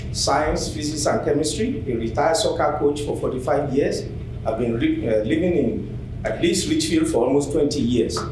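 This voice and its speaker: With a non-native accent, the speaker uses ordinary pitch variation and very even loudness, set against audible room echo and noticeable background noise. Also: man, fairly high pitch for a man, moderate pace. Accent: noticeable foreign. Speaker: public commenter, retired teacher. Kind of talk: public comment speech. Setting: public meeting at microphone.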